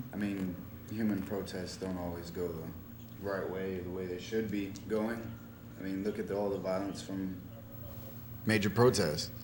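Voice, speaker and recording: A very deep, low-pitched man with an American accent at a moderate pace, long, frequent pauses and audible room echo. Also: ordinary pitch variation. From Tampa, Florida. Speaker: public-access TV co-host, activist. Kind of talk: casual panel discussion. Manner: talking loud. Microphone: bad mic, hard to hear.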